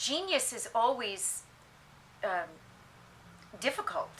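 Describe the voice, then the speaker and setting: A woman speaks over noticeable background noise. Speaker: stage actress. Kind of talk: interview answer.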